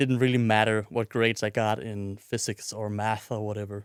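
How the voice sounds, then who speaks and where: On a very clean recording with a silent background and a dry, close sound with no echo, a man with a Danish accent speaks at a moderate pace with fairly even intonation. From Denmark, Odense. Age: 20s. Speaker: podcast host. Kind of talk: personal monologue.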